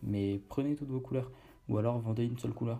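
Over music in the background, a man speaks at a very fast pace with fairly even intonation. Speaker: podcast host on online brand building. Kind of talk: casual solo monologue. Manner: hesitant with fillers.

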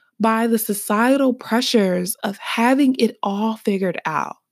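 A woman with an Alabama accent speaks at a fairly slow pace in a fairly high pitch, her tone animated and her pitch variation ordinary. The recording is very clean with a silent background. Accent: Southern US (Alabama). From US South, Birmingham, Alabama. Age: 20s. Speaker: podcast host. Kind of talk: casual solo podcast monologue. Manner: animated, laughing often.

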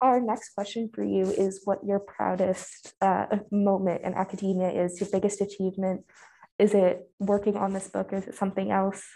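This woman has a medium pitch and a dark, mellow tone. Her intonation is monotone and flat. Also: moderate pace. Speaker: podcast host, student. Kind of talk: interview questions.

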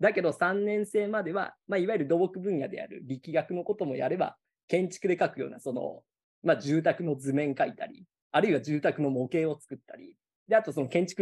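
A man speaks at a fairly quick pace in a high voice. His intonation is lively, and his loudness swings widely. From Gifu, Japan. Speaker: college teacher. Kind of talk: casual interview chat. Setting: video call.

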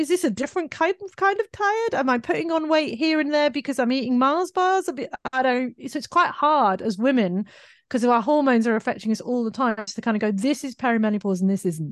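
A woman speaks very fast at a high pitch with a British accent, her pitch swinging very widely. The sound is dry and close with no echo, over a quiet background. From UK. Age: 40s. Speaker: digital marketing entrepreneur. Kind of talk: casual interview chat.

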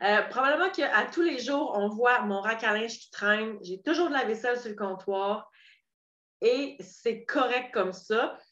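A woman talks at a fairly slow pace with lively intonation and fairly high pitch, her loudness swinging widely. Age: 30s. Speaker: podcast host and coach. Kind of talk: solo podcast monologue.

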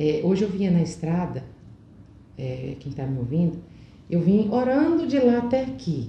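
A woman speaks at a moderate pace in a fairly low pitch, her voice swinging very widely up and down, with long, frequent pauses and audible room echo. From Brazil, Goiás (Alto Horizonte). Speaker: motivational speaker and cosmetics sales director. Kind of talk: interview.

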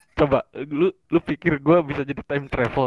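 He has an ordinary speaking voice. His pace is fairly quick and his intonation fairly even. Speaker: university student. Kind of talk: casual chat.

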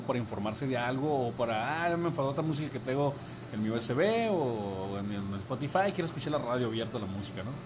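Talking at a fairly quick pace with ordinary pitch variation, a man is heard with audible room echo. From Sinaloa, Mexico. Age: 30s. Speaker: radio announcer. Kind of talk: interview.

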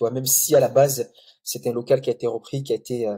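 Someone talks at a moderate pace in a calm tone while music plays in the background. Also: man. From Comoros (Grande Comore), then Mayotte. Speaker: mosque photographer and project founder. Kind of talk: podcast interview. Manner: calm, hesitant with many fillers.

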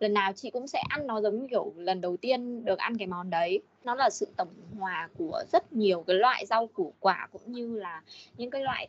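An ordinary speaking voice from a woman, fairly high in pitch and fairly quick, with lively intonation and a dry, close sound with no echo. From Điện Biên, northern Vietnam. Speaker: communications staff, home cook. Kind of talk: casual chat.

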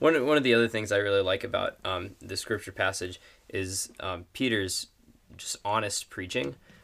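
A man with an American accent speaks at a moderate pace. His pitch is fairly low, with ordinary variation. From northern Wisconsin (Superior). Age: young. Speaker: university student, bible study member. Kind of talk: casual chat about scripture. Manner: halting, many fillers.

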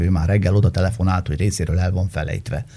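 Here a man is speaking. His voice is somewhat breathy, with a dark, mellow tone. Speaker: journalist. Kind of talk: casual chat.

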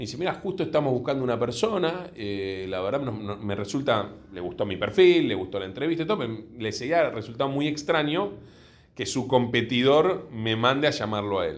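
A man talks at a moderate pace in a medium pitch with very wide pitch swings. Room echo is audible. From Buenos Aires, Argentina (Villa Urquiza). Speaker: insurance company executive. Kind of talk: interview.

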